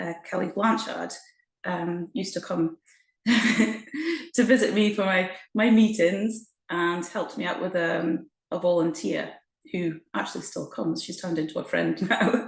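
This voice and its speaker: At a fairly slow pace, a somewhat breathy voice speaks with ordinary pitch variation. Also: woman, medium pitch for a woman. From Shetland, Scotland (born Essex). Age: 40s. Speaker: mother and programme member, former personal trainer. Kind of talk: interview. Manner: hesitant, many fillers.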